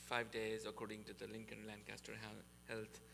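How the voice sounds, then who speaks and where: Noticeable background noise sits behind a man who talks at a moderate speed. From Nepal. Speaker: university sustainability speaker. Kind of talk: presentation to a church group.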